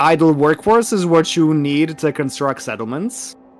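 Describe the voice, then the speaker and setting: A man with a non-native accent speaks at a moderate pace with lively intonation. There is music in the background. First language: not English. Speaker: strategy game player. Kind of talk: casual gameplay chat.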